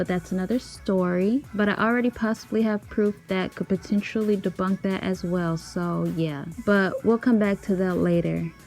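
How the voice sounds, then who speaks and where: Woman at a medium pitch, moderate pace and fairly even intonation, with music in the background. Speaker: YouTuber discussing celebrity conspiracies. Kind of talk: scripted voiceover. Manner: stutters and pauses when unscripted.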